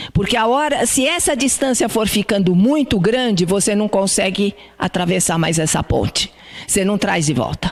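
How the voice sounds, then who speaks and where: Noticeable background noise sits behind a woman speaking at a moderate pace. Her medium-pitched voice has lively intonation and very even loudness. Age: 70s. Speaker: spiritist lecturer. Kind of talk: lecture. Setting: spiritist centre hall with audience. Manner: conversational.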